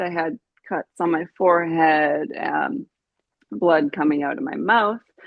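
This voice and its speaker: A woman speaks in a Canadian accent at a fairly low pitch. Her intonation is lively. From Canada, British Columbia (Vancouver Island). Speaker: brain injury survivor. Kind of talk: interview testimony.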